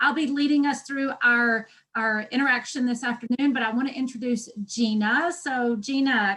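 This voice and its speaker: Her tone is bright and sharp, and this woman speaks with a Texan accent and a high pitch. She keeps a moderate pace with ordinary pitch variation and hardly any pauses. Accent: Texan Southern. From Texas. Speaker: education workshop presenter, doctoral student. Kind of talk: webinar introduction.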